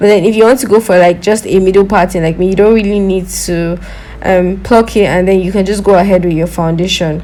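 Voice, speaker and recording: A woman speaks with a non-native accent. Noticeable background noise runs under her voice. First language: not English. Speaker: beauty vlogger. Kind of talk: product review. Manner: casual, chatty.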